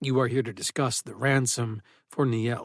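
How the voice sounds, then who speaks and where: This is a man using a put-on character voice. He talks at a moderate pace. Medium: read story. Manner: formal, measured, calm.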